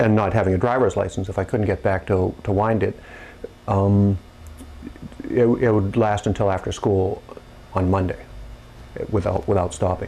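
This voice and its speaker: With an American accent, a man speaks at a moderate pace and a fairly low pitch in a flat monotone, keeping his loudness very even and taking long, frequent pauses. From New Hampshire, US. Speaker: town clock keeper. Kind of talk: interview. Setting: his place of business. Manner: halting, many fillers and repeats.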